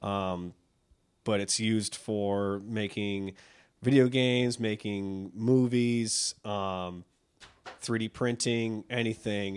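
Speaking at a very slow pace with an American accent, a man keeps a fairly low pitch and fairly even intonation. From Buffalo, New York. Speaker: teacher. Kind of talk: casual interview chat.

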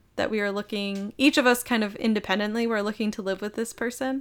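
A woman's fairly high voice with a bright, sharp tone and an American accent. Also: very clean recording, silent background. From Minnesota. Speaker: sales manager. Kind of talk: casual chat.

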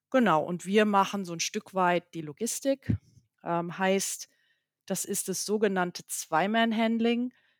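Heard in a dry, close sound with no echo, a plain, everyday voice moves at a fairly slow pace with ordinary pitch variation. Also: woman, medium pitch for a woman. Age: 50s. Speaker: company CEO. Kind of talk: interview. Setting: video call.

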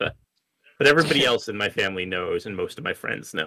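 A man talks at a fairly quick pace. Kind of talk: casual chat, answering questions.

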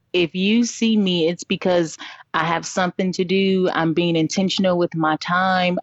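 In a normal speaking voice, a woman talks at medium pitch and a moderate pace, with very even loudness and fairly even intonation. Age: 30s. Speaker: small business owner. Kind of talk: interview.

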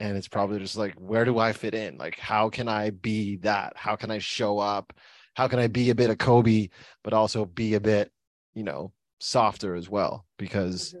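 A man's fairly low pitch at a moderate pace, with fairly even intonation over a quiet background. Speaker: podcast host and coach. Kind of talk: casual interview.

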